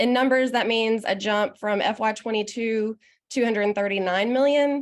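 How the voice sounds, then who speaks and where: The speaker has a Southern US accent. The background is quiet. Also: woman. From US South, Arkansas. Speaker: state economic development official, panelist. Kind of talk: panel presentation. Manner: informal, with filler words.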